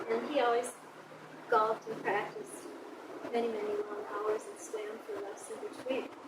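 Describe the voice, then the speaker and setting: Amid audible room echo and noticeable background noise, a woman talks at a moderate pace with big swings in loudness and long, frequent pauses. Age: 60s. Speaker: swimming and dance instructor. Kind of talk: casual monologue. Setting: outdoors at a pool.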